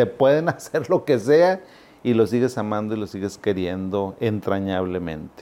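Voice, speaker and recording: A man speaks at a fairly slow pace in a fairly low pitch. His tone is dark and mellow, with lively intonation. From Zacatecas, Mexico; raised in Monterrey from age 7. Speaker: psychiatrist. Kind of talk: educational talk to camera. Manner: animated; conversational.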